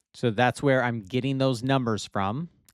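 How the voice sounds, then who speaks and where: Recorded very cleanly over a silent background, a man speaks with fairly even intonation in a dry, close sound with no echo. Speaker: video editing instructor. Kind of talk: tutorial. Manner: slow.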